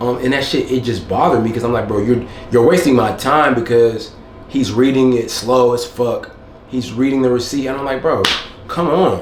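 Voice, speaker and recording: Medium-pitched male speech at a fairly quick pace, amid noticeable background noise and audible room echo. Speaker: vlogger. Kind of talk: casual vlog monologue. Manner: monotone.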